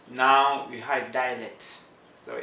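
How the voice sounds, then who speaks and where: Recorded with audible room echo and noticeable background noise, a man of medium pitch speaks at a very slow pace. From Cameroon, French-speaking region. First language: French. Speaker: immigrant interviewee. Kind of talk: interview. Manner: halting.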